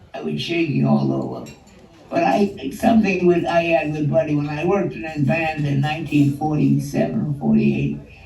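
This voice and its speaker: There is noticeable background noise in this clip. The man in it speaks at a moderate pace. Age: 80s+. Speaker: jazz vibraphonist. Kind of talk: interview answer. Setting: video call. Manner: sharp, witty.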